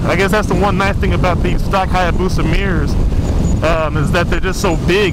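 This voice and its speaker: A man speaks with an American accent over loud background noise. The sound is dry, with no echo. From Chicago. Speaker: motorcycle vlogger. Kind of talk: casual vlog commentary. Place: motorbike. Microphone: helmet.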